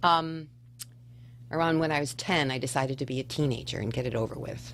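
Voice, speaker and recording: Her voice is very deep and low for a woman, with vocal fry and ordinary pitch variation. She talks at a fairly quick pace, and room echo is audible. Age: 60s. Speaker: educator at an alternative school. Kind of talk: radio interview, casual chat.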